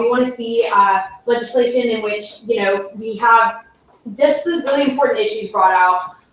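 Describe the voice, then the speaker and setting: A woman speaks in an ordinary speaking voice at a fairly high pitch and a moderate pace. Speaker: student senator, candidate for speaker pro tempore. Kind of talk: election speech and Q&A at student senate meeting. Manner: casual, filler-heavy.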